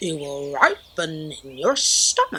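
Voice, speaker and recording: A put-on character voice in a middle pitch, at a fairly slow pace. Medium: read story. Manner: calm, matter-of-fact.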